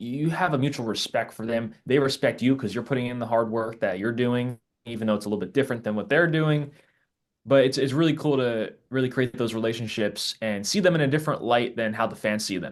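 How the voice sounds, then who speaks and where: At a fairly quick pace, a man uses a normal speaking voice with medium pitch and ordinary pitch variation against a quiet background. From New Jersey. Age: 20s. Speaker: sports content creator. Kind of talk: podcast interview.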